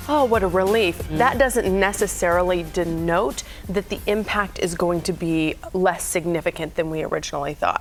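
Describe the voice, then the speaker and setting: Over music in the background, a woman with an American accent speaks at a moderate pace in a fairly low pitch with ordinary pitch variation. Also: hardly any pauses. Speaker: television news anchor, reporter and host. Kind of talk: broadcast news anchor delivery. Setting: TV studio.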